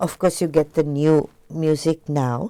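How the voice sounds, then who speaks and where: The woman's pitch is very deep and low, and her tone is dark and mellow. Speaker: singer. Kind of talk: interview. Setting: TV studio.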